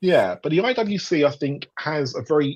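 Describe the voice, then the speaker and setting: A man with a British accent, lively intonation and a moderate pace. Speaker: podcast host. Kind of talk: casual panel discussion. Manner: hesitant, many fillers.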